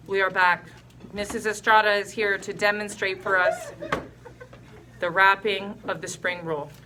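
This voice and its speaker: Over noticeable background noise, the speaker talks at a moderate pace with fairly even intonation and long, frequent pauses. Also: woman, medium pitch for a woman. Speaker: foods teacher. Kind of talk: cooking tutorial. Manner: loud.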